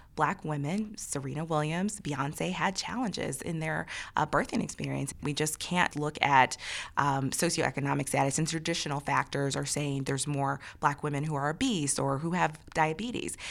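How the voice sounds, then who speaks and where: Speaking at a moderate pace, a woman with a very deep, low pitch and vocal fry shows ordinary pitch variation. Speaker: executive director of a mayors' association. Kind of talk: interview.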